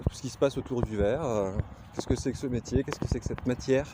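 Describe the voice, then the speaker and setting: A man speaks with a Lorraine accent over noticeable background noise. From Lorraine, France. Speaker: glassblower. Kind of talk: casual vlog self-introduction. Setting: outdoors on a nature walk. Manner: hesitant, many filler sounds.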